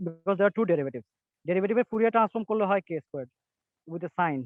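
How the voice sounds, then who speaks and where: A man talks with a Bengali accent in a high voice. His intonation is lively. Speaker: physics lecturer. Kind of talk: lecture. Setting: video call, outdoors. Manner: fast.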